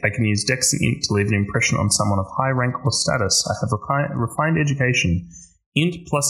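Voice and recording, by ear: This clip features reading aloud in a natural voice.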